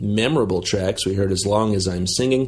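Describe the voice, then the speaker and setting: This man's somewhat breathy voice sits at a fairly low pitch and moves at a moderate pace. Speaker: radio host. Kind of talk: radio DJ patter. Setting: remote recording, not in studio. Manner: relaxed, friendly.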